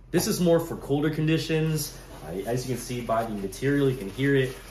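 Audible room echo and light background noise surround the voice. A man speaks at a moderate pace. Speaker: gear reviewer. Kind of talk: casual gear review to camera. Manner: casual, hesitant with many fillers. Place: kitchen. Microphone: phone near.

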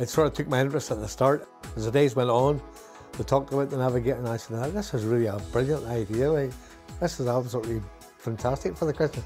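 Faint music plays behind a man with a Northern Irish accent. His pitch is medium with ordinary variation, and he speaks very fast. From Northern Ireland. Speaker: retired firefighter and ministry donor. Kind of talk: interview answer. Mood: warm, enthusiastic. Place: home room. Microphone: lapel.

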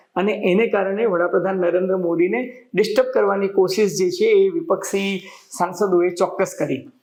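Speaking in a high pitch, a man keeps his loudness very even and his intonation fairly even. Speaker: journalist and political commentator. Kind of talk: news analysis monologue.

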